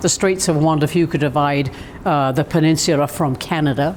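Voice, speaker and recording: A woman with a British accent and a very deep, low pitch, at a fairly quick pace, over noticeable background noise. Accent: British, often taken for Australian. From southern England. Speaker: arts administrator. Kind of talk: interview. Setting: visitor center, over tea.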